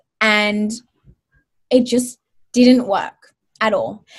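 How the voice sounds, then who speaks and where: Somewhat breathy speech in an Australian accent against a quiet background. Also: woman. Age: 20s. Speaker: wellness author and social media creator. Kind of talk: casual interview.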